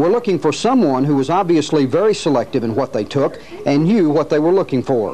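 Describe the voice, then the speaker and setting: Fairly quick delivery from a man amid noticeable background noise. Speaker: police lieutenant. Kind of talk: archival crime-tip PSA narration, scripted and read straight. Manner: formal, measured, official tone.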